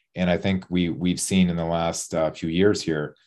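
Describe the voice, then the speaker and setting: Over a quiet background, a man with a very deep, low voice speaks at a moderate pace with fairly even intonation. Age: 40s. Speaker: fitness coach and former bodybuilder. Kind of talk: casual interview.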